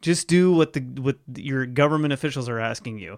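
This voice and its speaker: A man with an American accent speaks at a fairly quick pace, with a fairly high pitch and ordinary pitch variation. He has a plain, everyday voice, and the recording is very clean with a silent background. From Ohio, US Midwest. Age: 30s. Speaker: podcast host. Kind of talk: casual chat.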